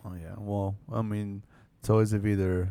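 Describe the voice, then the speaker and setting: A man speaks at a very slow pace. His voice is fairly low, with a dark, mellow tone. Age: 40s. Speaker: podcast host. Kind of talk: casual chat.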